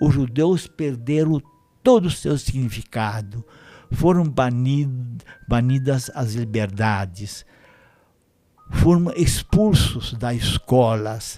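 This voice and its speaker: With a dark, mellow tone and lively intonation, a man speaks at medium pitch. His pace is very slow, with long, frequent pauses. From Romania. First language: Romanian (speaking Portuguese). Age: 90s. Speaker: Holocaust survivor. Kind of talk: testimony. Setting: studio.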